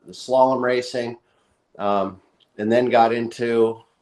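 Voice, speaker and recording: A man's medium-pitched voice at a very slow pace. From US West Coast, Northern California. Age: 60s. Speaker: big wave surfer and board shaper. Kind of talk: interview. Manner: casual, hesitant with many fillers.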